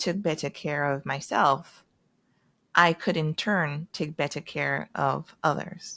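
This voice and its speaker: A woman with a very deep, low pitch and a bright, sharp tone speaks at a very slow pace with fairly even intonation, on a very clean recording with a silent background and a dry, close sound with no echo. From Caribbean. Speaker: dentist and military officer. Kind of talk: podcast interview.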